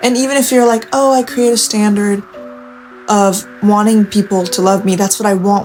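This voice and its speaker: Music plays in the background. A woman speaks with lively intonation. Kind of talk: late-night confessional talk to camera. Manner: soft-spoken, intimate.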